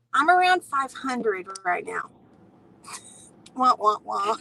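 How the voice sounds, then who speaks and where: At a fairly slow pace, a whiny, put-on character voice swings very widely in pitch. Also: woman, high pitch for a woman. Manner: disappointed, whining.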